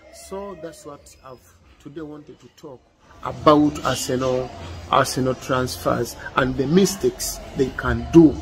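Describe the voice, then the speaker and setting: A man with a Ugandan accent at a fairly slow pace, big swings in loudness, and music in the background. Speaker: football commentator. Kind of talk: football opinion monologue. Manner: halting, with hesitations and repeats.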